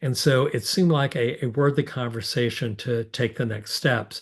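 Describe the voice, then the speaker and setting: Against a quiet background, a man speaks at a fairly slow pace and medium pitch, somewhat breathy, with lively intonation. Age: 60s. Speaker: bishop. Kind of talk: public Q&A forum answer. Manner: halting, many fillers.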